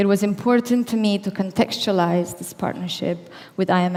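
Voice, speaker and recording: Her voice is medium in pitch and shaky. The woman keeps a moderate pace. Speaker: company founder. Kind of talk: keynote speech. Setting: stage with audience. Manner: formal.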